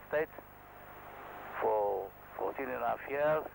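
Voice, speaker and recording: Clear background noise behind a male voice at a middling pace. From Israel. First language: Hebrew. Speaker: helicopter pilot. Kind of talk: tutorial. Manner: halting.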